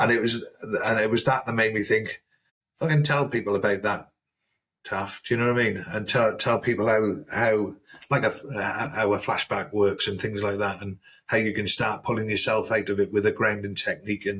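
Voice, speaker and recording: With a South Wales accent, a man talks at a moderate pace in a fairly low pitch, keeping his intonation fairly even. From South Wales, Newport. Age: 50s. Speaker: army veteran. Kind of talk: casual chat.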